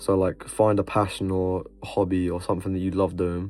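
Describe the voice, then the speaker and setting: Over background music, a man speaks in a very deep, low voice with monotone, flat intonation. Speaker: motivational vlogger. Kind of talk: casual vlog monologue. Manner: stuttering, halting; casual, filler-heavy.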